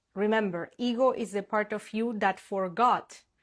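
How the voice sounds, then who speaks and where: The speaker talks at a fairly slow pace with a Spanish accent and fairly even intonation. The recording is very clean, with a silent background. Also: woman. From Argentina. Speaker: spiritual manifestation coach. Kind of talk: casual live stream talk. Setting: Instagram live stream.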